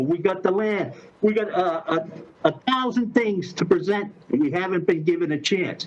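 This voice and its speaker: A man talks at a high pitch with hardly any pauses. Noticeable background noise runs behind him. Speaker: resident addressing city council. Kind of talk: public comment. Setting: video call. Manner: halting; loud. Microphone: muffled by face mask.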